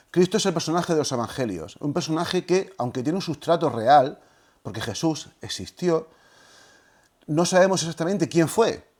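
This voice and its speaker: In a very clean recording with a silent background, a man speaks with lively intonation, a fairly high pitch and vocal fry. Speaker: historian and lecturer on religion. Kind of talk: lecture. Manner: fast.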